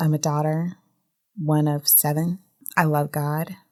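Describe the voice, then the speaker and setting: A woman with an American accent, very deep and low in pitch, monotone and flat, at a fairly slow pace. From Germany, then US South (military family). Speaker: tax attorney. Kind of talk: interview conversation.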